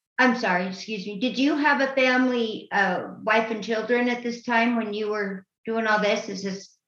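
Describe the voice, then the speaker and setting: Someone with an American accent talks at a moderate pace with hardly any pauses and fairly even intonation, with audible room echo. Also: woman, fairly high pitch for a woman. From Utah. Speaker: guest co-host. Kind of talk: interview questions and reading listener questions.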